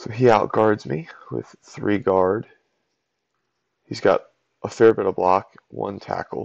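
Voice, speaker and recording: At a very slow pace, a man mumbles with long, frequent pauses and big swings in loudness, the sound dry with no echo against a quiet background. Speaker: game commentator. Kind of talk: gameplay analysis commentary. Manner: mumbling, quiet. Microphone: webcam.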